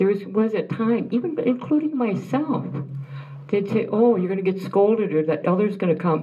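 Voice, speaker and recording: Amid noticeable background noise and audible room echo, a woman of medium pitch speaks at a moderate pace. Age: old. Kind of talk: speech to an audience. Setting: room with audience after film screening.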